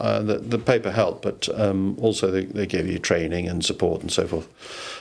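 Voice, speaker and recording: In a southern English accent, a man speaks at a moderate pace with ordinary pitch variation. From southwest London, England. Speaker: former newspaper executive. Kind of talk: casual interview. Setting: host's house.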